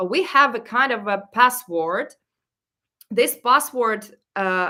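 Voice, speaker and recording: With a Ukrainian accent, a woman speaks very slowly at a fairly high pitch. Her tone is bright and sharp, and her intonation lively. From Ukraine. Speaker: travel vlogger. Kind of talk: live Q&A stream. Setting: livestream. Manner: halting.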